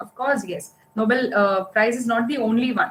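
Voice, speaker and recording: A woman's fairly high voice in a Karnataka accent, moving at a moderate pace. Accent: Indian English (Kannada). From India, Karnataka. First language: Kannada. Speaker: science writer and communicator. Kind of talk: public talk. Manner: halting.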